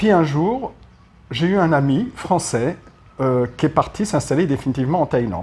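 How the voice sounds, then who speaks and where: Pitched fairly high, a somewhat breathy man swings his pitch very widely and leaves long, frequent pauses. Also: moderate pace. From France, Paris. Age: 60s. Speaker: retired expat. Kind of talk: interview.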